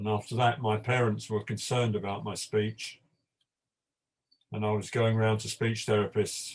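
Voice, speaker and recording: At a moderate pace with long, frequent pauses, a man speaks in a somewhat breathy voice, his fairly low pitch held in monotone, flat intonation. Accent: British. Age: old. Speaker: panel guest. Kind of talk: panel discussion. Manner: stammer.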